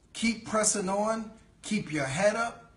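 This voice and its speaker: Animated tone from a man in a New York accent, moderate pace, audible room echo and noticeable background noise. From New York City, the Bronx. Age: 40s. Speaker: network marketing leader. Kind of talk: sales pitch.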